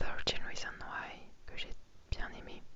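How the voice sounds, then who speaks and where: A woman is whispering. Her pace is very slow. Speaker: ASMR content creator. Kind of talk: casual talk to camera. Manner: soft-spoken, friendly, hesitant.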